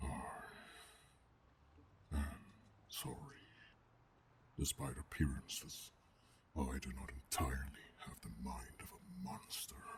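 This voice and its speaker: A man puts on a gruff, growling character voice at a very deep, low pitch. He leaves long, frequent pauses. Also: fairly slow pace. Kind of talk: ASMR roleplay. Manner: calm, menacing.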